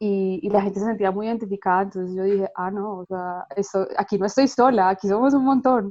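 Against a quiet background, a woman with an ordinary speaking voice talks at a fairly quick pace with hardly any pauses, her medium pitch showing ordinary variation. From Colombia. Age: 30s. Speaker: graphic designer and illustrator. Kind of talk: interview.

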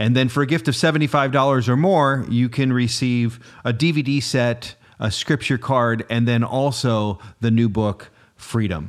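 Medium in pitch with ordinary pitch variation, a man talks at a moderate pace in a plain, everyday voice. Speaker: program host. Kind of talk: interview.

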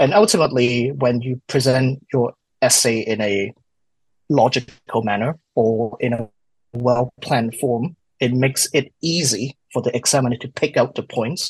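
With a dry, close sound and no echo, a man speaks at medium pitch in a somewhat breathy voice with ordinary pitch variation. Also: moderate pace. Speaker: wine student, study group moderator. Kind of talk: casual interview. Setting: video call.

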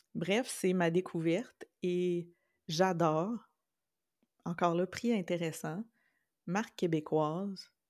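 In a very clean recording with a silent background, a woman speaks at a very slow pace with long, frequent pauses. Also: fairly low pitch for a woman. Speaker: podcast co-host. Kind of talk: casual chat.

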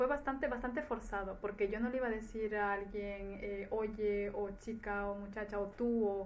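A woman at a medium pitch and moderate pace, with hardly any pauses and audible room echo. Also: fairly even intonation. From Ecuador, then Spain from childhood. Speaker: nurse. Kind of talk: interview testimony.

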